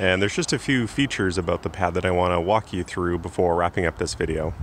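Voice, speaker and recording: Light background noise sits under a man speaking with ordinary pitch variation in a dry sound with no echo. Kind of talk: casual vlog chat. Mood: pleased, upbeat. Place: garden. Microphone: phone near.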